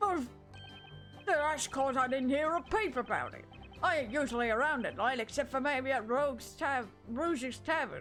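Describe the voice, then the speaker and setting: A female-sounding voice performs a put-on character at a moderate pace, cackling. Clear music plays in the background. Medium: virtual streamer. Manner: brash, crude, cackling.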